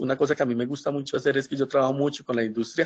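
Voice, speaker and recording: In a flat, monotone delivery, the man talks. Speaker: professor. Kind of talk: webinar lecture. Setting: online webinar. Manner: hesitant, many fillers.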